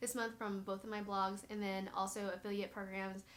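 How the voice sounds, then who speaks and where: A woman of medium pitch amid noticeable background noise and audible room echo. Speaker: blogger and YouTuber. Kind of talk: casual tutorial walkthrough. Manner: fast; filler-heavy, casual.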